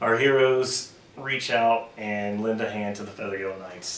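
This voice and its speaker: With noticeable background noise and audible room echo, a man speaks at a moderate pace in a fairly low pitch. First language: not English. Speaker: dungeon master. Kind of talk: tabletop game narration.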